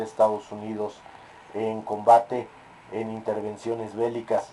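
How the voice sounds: The tone is dark and mellow, delivered at a fairly slow pace. Audible room echo surrounds the voice. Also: man.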